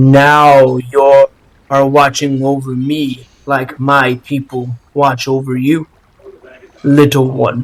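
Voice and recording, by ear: A man speaks very slowly in a put-on character voice. His medium-pitched delivery stays monotone and flat.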